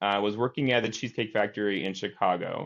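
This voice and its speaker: With a Midwestern accent, a man talks at a fairly quick pace. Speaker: TV meteorologist and news director. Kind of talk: interview. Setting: podcast. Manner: casual, many fillers.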